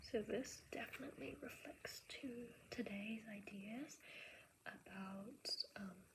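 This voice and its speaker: A somewhat breathy woman at a very slow pace, with ordinary pitch variation. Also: fairly high pitch for a woman. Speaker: teacher. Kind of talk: casual talk to camera, reading and note-taking. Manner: soft-spoken, ASMR.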